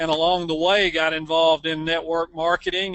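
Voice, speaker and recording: Speaking at a moderate pace, a man with an American accent has a high pitch for a man. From USA. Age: 60s. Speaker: network marketing distributor, former basketball player. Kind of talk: interview. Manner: halting with many fillers.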